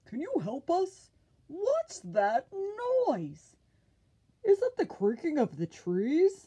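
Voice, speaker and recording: A high-pitched put-on character voice at a very slow pace, broken by long, frequent pauses. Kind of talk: children's picture book reading. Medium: read story. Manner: curious, questioning.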